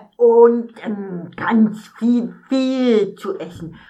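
A put-on character voice, female-sounding. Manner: excitable, stammering.

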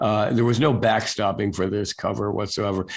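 Against a quiet background, a man uses a normal speaking voice at a moderate pace and a fairly low pitch. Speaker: national security journalist, newsletter founder. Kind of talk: interview conversation.

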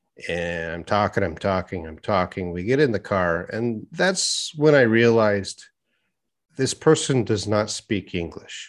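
A man with a Canadian accent uses a normal speaking voice at a fairly low pitch. He talks at a fairly slow pace with lively intonation and big swings in loudness against a quiet background. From Canada; Edmonton, Canada. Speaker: YouTube English teacher and former university professor. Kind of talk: casual interview chat.

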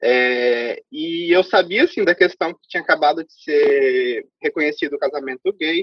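Speaking with a Brazilian accent, a man with a high pitch talks at a fairly slow pace, hardly pausing, with big swings in loudness. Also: ordinary pitch variation. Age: 20s. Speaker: immigrant interviewee. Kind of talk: casual interview.

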